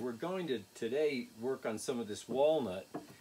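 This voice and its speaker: A man's pitch varies in an ordinary way while noticeable background noise is heard. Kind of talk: tutorial. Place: workshop. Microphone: camera far.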